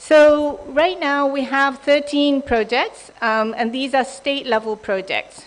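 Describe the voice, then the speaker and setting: A woman speaks with a Japanese accent. Her pitch varies in an ordinary way. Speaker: development bank official. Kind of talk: conference presentation. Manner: hesitant, many ums.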